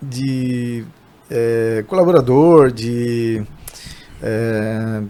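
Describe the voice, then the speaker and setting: A man speaks over noticeable background noise. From interior of São Paulo state, Brazil. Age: 40s. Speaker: barbershop owner. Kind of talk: podcast interview. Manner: halting, many false starts.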